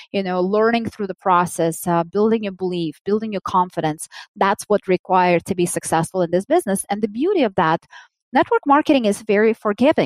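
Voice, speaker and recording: A woman with a Russian accent talks at a fairly quick pace and medium pitch. Her pitch varies in an ordinary way, and the sound is dry and close with no echo. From Soviet Union. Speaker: business executive. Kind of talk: interview.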